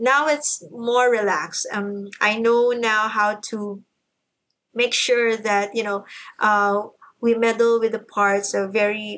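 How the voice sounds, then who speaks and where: This woman talks at a very slow pace in a fairly high pitch, her intonation fairly even. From Philippines. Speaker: progressive rock musician and vocalist. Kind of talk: casual interview.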